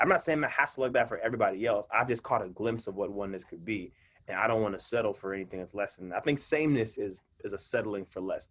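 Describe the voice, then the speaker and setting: In an American accent, a man talks at a very fast pace in an animated tone, with big swings in loudness. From Mississippi and California. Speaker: poet and minister. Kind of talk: casual interview chat. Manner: animated, repeats words.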